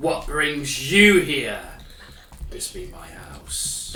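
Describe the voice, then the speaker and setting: A man in a put-on character voice at a very slow pace, with clear background noise. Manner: demonic.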